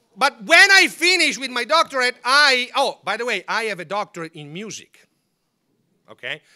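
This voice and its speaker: Raising and projecting his voice, a man with an Italian accent speaks at a moderate pace in an animated tone, his extremely high pitch swinging very widely. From northern Italy, Milan. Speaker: former papal guard giving a talk. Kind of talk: public talk.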